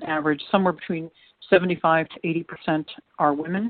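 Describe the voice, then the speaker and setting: Speaking with an American accent at a moderate pace, a woman keeps a fairly low pitch and fairly even intonation. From United States. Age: 60s. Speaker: trafficking survivor and women's advocate. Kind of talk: interview.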